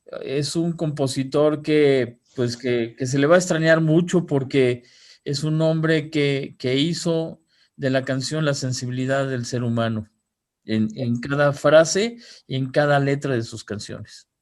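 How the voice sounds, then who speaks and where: A man talks in an unremarkable speaking voice, fairly high, with ordinary pitch variation. His pace is fairly slow, and the background is quiet. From Mexico. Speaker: radio broadcaster. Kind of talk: interview answer.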